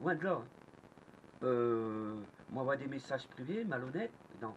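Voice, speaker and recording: Noticeable background noise sits behind a man's medium-pitched voice. His pitch swings very wide. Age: 60s. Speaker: magnet fishing youtuber. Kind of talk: angry vlog rant. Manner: animated; halting.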